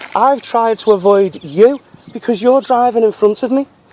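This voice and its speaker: A man talks at a moderate pace as noticeable background noise sits beneath his speech. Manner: angry, insistent.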